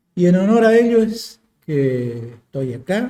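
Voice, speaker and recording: A man speaks with a dark, mellow tone. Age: 60s. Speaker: war veteran. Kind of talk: interview testimony. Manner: halting, with fillers.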